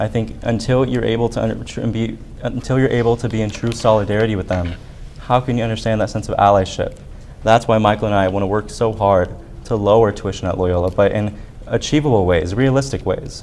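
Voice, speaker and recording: A man with a fairly low pitch talks at a very fast pace with fairly even intonation, over noticeable background noise. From Arizona, US. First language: Spanish. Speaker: student government candidate. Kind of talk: debate.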